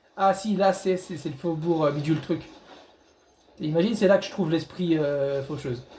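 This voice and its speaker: A loud man's voice, high-pitched with a dark, mellow tone, ordinary pitch variation, moderate pace and long, frequent pauses. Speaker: gaming youtuber. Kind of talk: gameplay commentary. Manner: halting, repetitive stammering.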